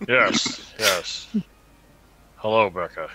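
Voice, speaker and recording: A man puts on a character voice. He pitches it fairly low. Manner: formal.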